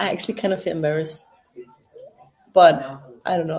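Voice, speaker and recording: Speaking at a very fast pace, a woman with a German accent uses a fairly low pitch and ordinary pitch variation. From Germany, Berlin (East Germany). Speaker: MMA fighter and watch-party host. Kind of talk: casual live-stream chat. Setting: live stream with friends in room. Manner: informal, with fillers.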